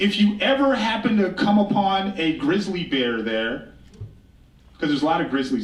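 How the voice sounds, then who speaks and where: Loud and high-pitched, a man talks with an American accent and very wide pitch swings. Audible room echo fills the recording. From Blackfeet Reservation, Montana, Northern Plains. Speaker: author and storyteller, keynote speaker. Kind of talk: keynote speech. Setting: stage with audience.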